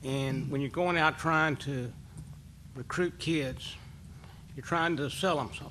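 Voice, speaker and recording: Audible room echo accompanies a man speaking at a moderate pace with a fairly high pitch and fairly even intonation. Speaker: coach, hall of fame inductee. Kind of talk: acceptance speech at press conference. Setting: press conference in hotel. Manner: casual.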